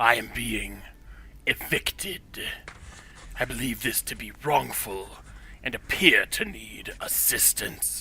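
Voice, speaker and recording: A put-on character voice whispers at a fairly slow pace, with long, frequent pauses. Background noise is clearly audible. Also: man. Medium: audio drama. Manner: formal, precise, measured.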